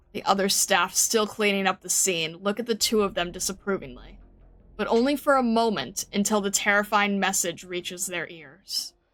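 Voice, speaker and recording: In a plain, everyday voice, a woman talks at a moderate pace, her medium pitch showing ordinary pitch variation. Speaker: vtuber who reads game story aloud with voice acting. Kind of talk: narration reading of story text.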